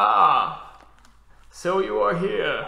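Putting on a robotic character voice, a man speaks at an extremely high pitch, with audible echo around him. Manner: menacing, mocking.

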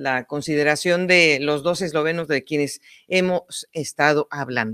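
A woman speaks at a fairly slow pace in a bright, sharp tone. The background is quiet. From Mexico. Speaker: cycling podcast host. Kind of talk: casual sports talk and interviews. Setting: remote video call. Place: home room.

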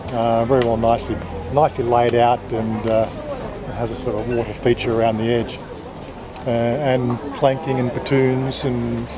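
A man speaks at a moderate pace with monotone, flat intonation and long, frequent pauses. The sound is dry with no echo, though noticeable background noise is present. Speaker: travel vlogger. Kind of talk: casual vlog chat. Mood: mildly annoyed, joking. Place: cafe. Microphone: phone near.

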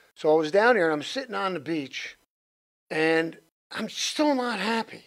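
Over a quiet background, a man speaks at a moderate pace with very wide pitch swings. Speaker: interview guest. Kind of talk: interview answer. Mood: earnest, reflective. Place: studio. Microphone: studio mic.

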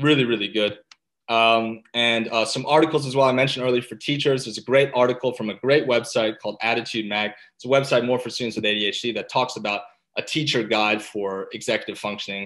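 Fairly quick, fairly even speech from a man, fairly low in pitch with a fairly bright tone

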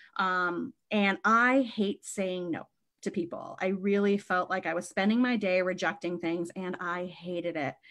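In a plain, everyday voice, a woman with an American accent speaks at a medium pitch and a fairly slow pace against a quiet background. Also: ordinary pitch variation. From Maine, US. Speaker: bookstore co-owner. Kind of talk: interview conversation.

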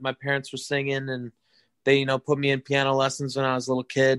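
A man speaks at a very fast pace with a fairly high pitch. The sound is dry and close, without echo. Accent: American. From western Wisconsin, rural. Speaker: musician in a band. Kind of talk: interview.

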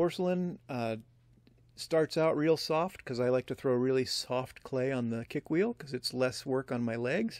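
In a dry sound with no echo and a quiet background, a man's pitch varies in an ordinary way. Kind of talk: tutorial. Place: workshop.

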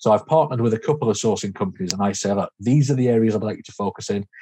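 At a very fast pace, a man speaks with fairly low pitch. His pitch variation is ordinary. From Yorkshire, raised partly in Spain. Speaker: serviced accommodation manager; podcast guest. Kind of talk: interview. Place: home room.

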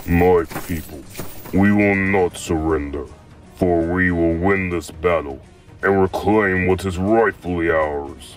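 A man's put-on character voice, very deep and low, at a fairly slow pace over clear background music. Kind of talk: battle speech. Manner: assertive, confident.

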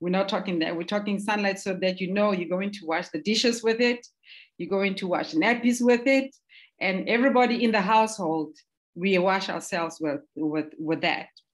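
The voice moves at a moderate pace with ordinary pitch variation. The background is quiet. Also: woman. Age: 50s. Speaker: skincare entrepreneur. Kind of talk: interview. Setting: livestream. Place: home room. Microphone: video call.

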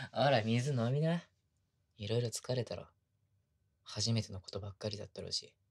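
A somewhat breathy man talks at a fairly quick pace with ordinary pitch variation, long, frequent pauses and big swings in loudness against a quiet background. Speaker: ASMR voice actor. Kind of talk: ASMR situational pillow talk, intimate roleplay whisper. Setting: binaural ASMR studio recording. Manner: soft, tender, sweet, bashful, laughing softly. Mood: very sweet, gentle, intimate. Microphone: studio mic.

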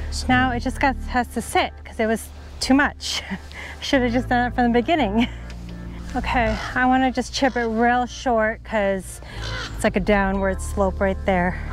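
Over clear music in the background, a woman speaks at a moderate pace in a dry sound with no echo, her loudness swinging widely. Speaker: golfer vlogger. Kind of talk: casual vlog chat. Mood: playful, self-mocking. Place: open country.

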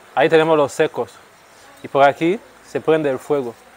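Fairly quick pace here. A man is talking. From Equatorial Guinea, Rebola (Bioko). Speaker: singer. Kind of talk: casual tour guide chat. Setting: outdoors. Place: street. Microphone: phone near.

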